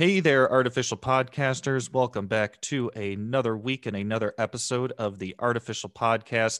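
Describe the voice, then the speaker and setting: A man with a plain, everyday voice speaks at a moderate pace and medium pitch, with hardly any pauses, in a dry, close sound with no echo on a very clean recording against a silent background. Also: ordinary pitch variation. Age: 20s. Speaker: podcast host. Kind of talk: scripted intro; interview.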